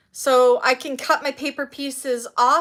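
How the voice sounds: Her voice has a fairly bright tone and fairly high pitch. The woman keeps her intonation fairly even.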